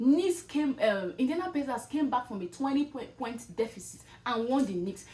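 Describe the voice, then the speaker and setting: Loud and animated, a woman with a high pitch talks at a fairly quick pace with hardly any pauses and very wide pitch swings. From Nigeria. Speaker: content creator. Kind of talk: motivational talk.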